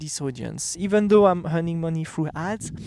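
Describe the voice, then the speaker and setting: A man speaks with a French accent. The recording is very clean with a silent background, and the sound is dry and close with no echo. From France. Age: 30s. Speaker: entrepreneur and vlogger. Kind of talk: casual vlog monologue. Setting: outdoors. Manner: halting, with fillers and restarts.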